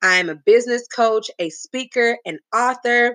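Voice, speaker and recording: A woman speaks at a fairly high pitch in a bright, sharp, animated tone with lively intonation. Her pace is fairly slow, and the sound is dry and close with no echo. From Texas, Huntsville near Houston. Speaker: podcast host, business coach. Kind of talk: solo motivational podcast monologue.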